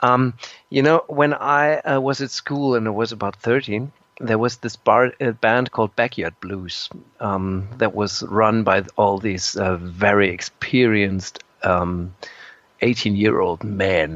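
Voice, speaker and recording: Speaking very slowly with a German accent, the voice shows ordinary pitch variation. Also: man, fairly low pitch for a man. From Germany. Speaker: musician and composer. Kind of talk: interview. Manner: halting.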